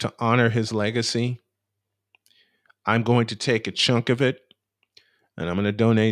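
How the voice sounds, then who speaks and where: On a very clean, dry, close recording with no echo and a silent background, a man speaks at a moderate pace and medium pitch with ordinary pitch variation. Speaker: basketball streamer. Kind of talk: live stream chat. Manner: quiet.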